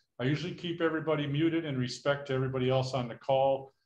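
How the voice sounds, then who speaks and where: Fairly even intonation comes through with audible room echo. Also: man. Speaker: workshop host. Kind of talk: meeting housekeeping instructions. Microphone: video call.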